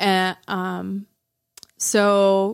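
A woman speaks with an American accent, the sound dry and close with no echo. The recording is very clean, with a silent background. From Arizona, Tucson. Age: 40s. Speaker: podcast guest. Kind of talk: casual chat. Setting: studio.

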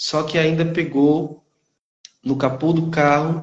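A man speaks at a very slow pace. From Brazil, northeastern Minas Gerais. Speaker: teacher. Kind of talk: testimony.

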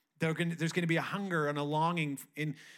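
A man's fairly high voice, a plain, everyday voice, with ordinary pitch variation on a very clean recording with a silent background. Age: 30s. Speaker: pastor. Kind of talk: Pentecost Sunday church sermon, building to a rousing revival appeal. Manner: conversational, with frequent restarts and filler words; rising, rhetorical cadence with repeated 'who gets to stand up' lines.

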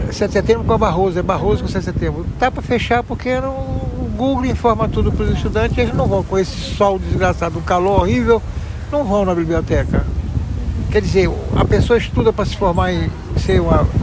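Noticeable background noise and audible room echo surround a man talking at a fairly quick pace. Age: 70s. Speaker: passerby interviewed in the street. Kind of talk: street interview.

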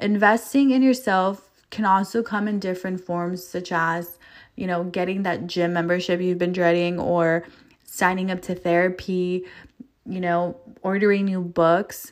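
In a Californian accent, a woman of medium pitch talks at a fairly slow pace with fairly even intonation, in a very clean recording with a silent background. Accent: Californian American English. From Los Angeles. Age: 20s. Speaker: podcast host. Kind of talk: motivational monologue. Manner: casual, laughing.

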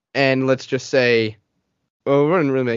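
A man at a medium pitch. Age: 30s. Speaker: podcast co-host. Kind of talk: casual chat.

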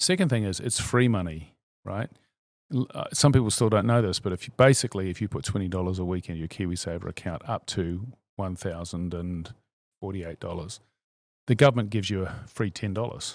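A man with a New Zealand accent talks at a fairly quick pace in a fairly low pitch with ordinary variation. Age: 50s. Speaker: CEO of a savings fund. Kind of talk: interview.

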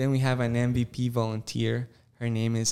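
A man speaks in a medium pitch. He has a Spanish accent. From Costa Rica. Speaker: campus pastor and worship leader. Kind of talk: interview.

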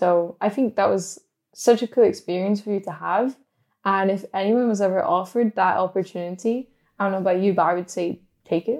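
A woman speaks at a fairly quick pace with a medium pitch. Her tone is dark and mellow, with ordinary pitch variation. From UK. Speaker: podcast co-host. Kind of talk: casual chat.

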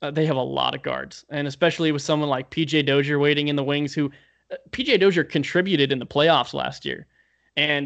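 Fairly quick, monotone, flat speech from a man with a fairly high pitch, against a quiet background. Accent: American. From Denver, Colorado. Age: 20s. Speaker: sports journalist. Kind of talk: casual chat. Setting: remote call. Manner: halting.

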